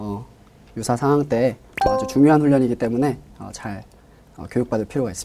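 Moderate pacing from a man at a medium pitch, his pitch varying in an ordinary way. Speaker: discharged soldier and seminary student. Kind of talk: interview.

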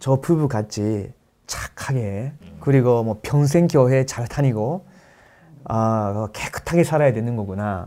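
A man's dark, mellow voice sits at a medium pitch, moving very slowly with ordinary pitch variation. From Japan. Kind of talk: testimony in a panel talk.

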